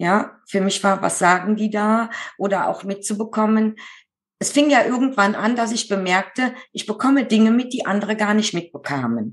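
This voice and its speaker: Against a quiet background, a woman speaks at a moderate pace in an ordinary speaking voice, fairly high in pitch with ordinary pitch variation. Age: 50s. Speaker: medium who draws portraits of the dead. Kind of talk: interview.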